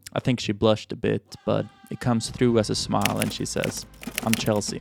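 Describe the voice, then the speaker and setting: Over music in the background, a man with a Swedish accent talks at a fairly quick pace. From Sweden. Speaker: vlogger. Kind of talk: personal storytelling.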